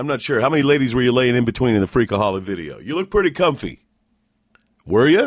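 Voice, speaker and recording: In a very clean recording with a silent background, a man talks at a very fast pace. His pitch is medium, with very wide pitch swings. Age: 50s. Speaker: radio broadcaster and podcast host. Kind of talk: interview.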